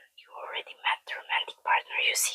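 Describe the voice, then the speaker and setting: The whispering carries a calm tone. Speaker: ASMR tarot reader. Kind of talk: whispered tarot reading. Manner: soft, whispered, calm.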